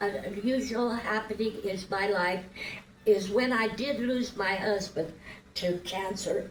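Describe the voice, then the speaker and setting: Very slowly, a woman speaks at a fairly high pitch, with audible room echo and noticeable background noise. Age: 80s+. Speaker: pageant contestant. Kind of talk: interview.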